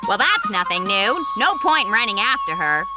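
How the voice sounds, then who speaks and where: A cartoonish character voice speaks at a moderate pace. Loud music plays in the background. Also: female-sounding voice, medium pitch for a woman. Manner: casual, teasing.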